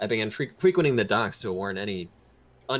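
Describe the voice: Some plain reading aloud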